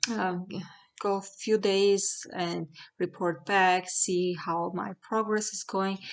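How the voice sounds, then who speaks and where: Speaking with a strong Armenian accent against a quiet background, a woman keeps her intonation fairly even. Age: 40s. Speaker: product reviewer. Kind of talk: product review. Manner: halting, with fillers.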